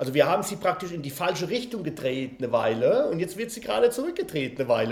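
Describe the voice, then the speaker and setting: A man talks at a very fast pace with a high pitch. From Spain. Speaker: game company founder. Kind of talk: interview.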